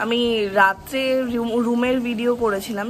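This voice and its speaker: Light background noise accompanies a woman whose pitch varies in an ordinary way. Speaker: travel vlogger. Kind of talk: casual vlog chat. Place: garden. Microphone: phone near.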